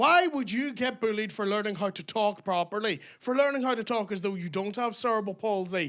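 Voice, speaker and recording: A man in a Belfast accent, high-pitched with a bright, sharp tone, fairly quick with hardly any pauses and ordinary pitch variation, in a very clean recording with a silent background. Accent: posh for Belfast. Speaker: stand-up comedian. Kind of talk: stand-up.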